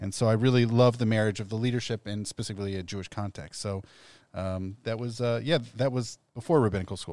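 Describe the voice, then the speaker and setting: Very clean and silent in the background, this recording has a man with an American accent. He talks at a very fast pace in a fairly low pitch with ordinary pitch variation. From Ohio (Columbus). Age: 40s. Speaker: rabbi. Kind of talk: casual chat. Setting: studio.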